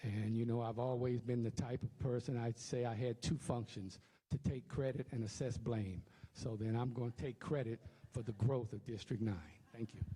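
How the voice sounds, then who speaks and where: Somewhat breathy and dark, mellow in tone, a man with an American accent speaks at a medium pitch with fairly even intonation. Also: moderate pace. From Louisiana, Cameron. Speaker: political candidate. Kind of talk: candidate forum speech. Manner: halting, with fillers.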